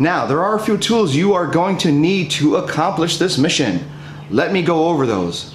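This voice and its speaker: A man speaks with audible room echo. Light background noise can be heard. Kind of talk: tutorial.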